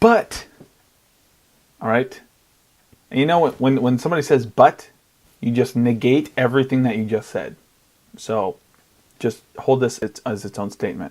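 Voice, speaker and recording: Long, frequent pauses break up the speech of a man with a medium pitch. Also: ordinary pitch variation. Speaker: podcaster and YouTuber. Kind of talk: casual solo podcast monologue. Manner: rambling, fast with stumbles.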